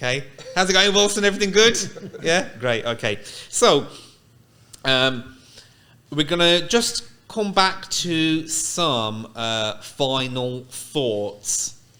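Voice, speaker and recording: Very slowly, with long, frequent pauses, a man speaks at a fairly high pitch with very wide pitch swings. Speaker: podcast host. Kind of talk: casual podcast interview. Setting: studio.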